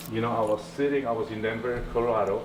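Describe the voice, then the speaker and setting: Audible room echo and noticeable background noise around a man speaking at a fairly quick pace. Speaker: entrepreneur. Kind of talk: interview.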